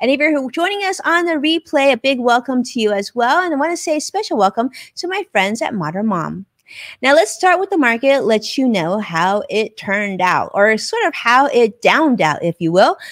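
A high-pitched woman at a moderate pace, very wide pitch swings, quiet background. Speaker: live show host. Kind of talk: live show host commentary. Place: home room. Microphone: studio mic.

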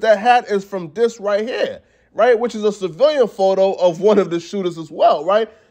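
A man's high-pitched, animated voice at a moderate pace, with ordinary pitch variation and a quiet background. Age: 20s. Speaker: hip hop news commentator. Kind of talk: casual commentary video.

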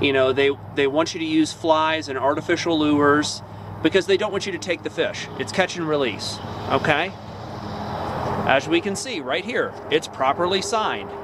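There is noticeable background noise as a man speaks at a moderate pace, the sound dry with no echo. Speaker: angler vlogger. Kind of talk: casual vlog commentary. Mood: disappointed, critical. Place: open country. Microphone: phone near.

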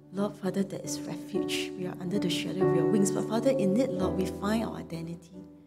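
Against clear music in the background, a woman talks at a fairly quick pace. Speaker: pastor leading prayer. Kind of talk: spoken prayer. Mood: earnest, reverent. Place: church.

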